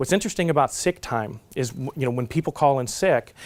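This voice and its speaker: This man has an American accent and ordinary pitch variation. He talks at a fairly quick pace. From Southern California. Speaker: conference speaker on contact center planning. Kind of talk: conference presentation. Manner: fast; halting with frequent fillers and restarts.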